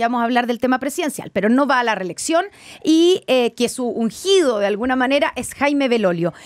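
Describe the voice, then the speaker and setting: A woman's high voice with very wide pitch swings, at a moderate pace against a quiet background. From Chile. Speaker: radio host. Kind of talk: radio interview. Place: studio. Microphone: studio mic.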